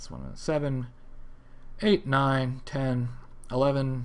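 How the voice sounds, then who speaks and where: A man with an American accent is heard with audible room echo. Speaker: gaming video creator streaming. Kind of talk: live stream chat and Q&A. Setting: live stream. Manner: casual, rambling with fillers.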